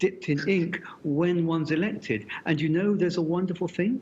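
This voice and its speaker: Speaking with a British accent, a man talks at a moderate pace and a fairly high pitch. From Britain. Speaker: physics professor. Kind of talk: interview conversation.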